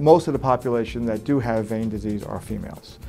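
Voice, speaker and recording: Over music in the background, a man with an American accent talks at a fairly quick pace. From New York. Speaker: vein surgeon. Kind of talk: interview answer.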